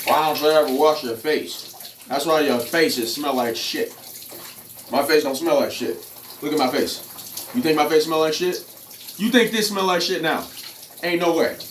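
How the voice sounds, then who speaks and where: A man with a fairly high pitch and ordinary pitch variation takes long, frequent pauses, heard with audible room echo and noticeable background noise. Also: moderate pace. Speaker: fitness and off-grid vlogger. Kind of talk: casual vlog monologue. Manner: animated.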